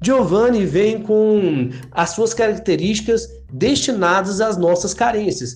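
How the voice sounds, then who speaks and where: Very slow delivery meets lively intonation and very even loudness, with audible room echo in the space. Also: man, high pitch for a man. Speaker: PE teacher and football podcast co-host. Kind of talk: casual chat.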